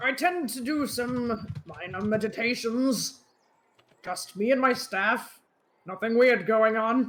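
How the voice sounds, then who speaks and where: A man uses a put-on character voice pitched extremely high. He speaks at a fairly slow pace. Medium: actual play.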